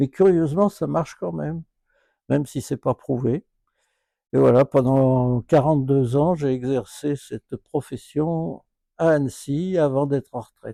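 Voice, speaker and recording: Speaking at a fairly slow pace, a man with a fairly high pitch and a dark, mellow tone uses ordinary pitch variation, recorded with a dry, close sound and no echo. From France, Lyon area. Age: 80s+. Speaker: retired doctor and local historian. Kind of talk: interview testimony. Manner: hesitant, frequent fillers.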